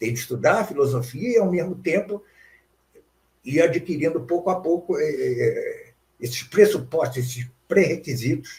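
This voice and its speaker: A man's high-pitched voice at a moderate pace, with lively intonation and a dark, mellow tone. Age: 70s. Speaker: philosophy professor. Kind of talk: interview. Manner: hesitant with frequent fillers.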